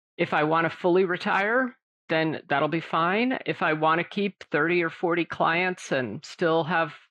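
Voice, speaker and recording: Here is a woman with a plain, everyday voice, fairly low in pitch with ordinary variation. She talks at a fairly slow pace with very even loudness. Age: 60s. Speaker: financial advisor and firm owner. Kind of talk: podcast interview.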